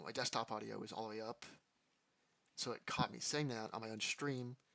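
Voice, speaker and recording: A man's bright, sharp tone at medium pitch, with fairly even intonation. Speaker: gaming streamer. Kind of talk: live gameplay stream commentary. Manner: fast; casual, self-talking.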